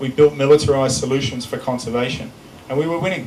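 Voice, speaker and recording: A man rushes along at a very fast pace, his intonation fairly even, while noticeable background noise sounds behind him. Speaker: conservationist, former special operations soldier. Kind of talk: public talk. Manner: loud. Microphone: unreliable microphone cutting out.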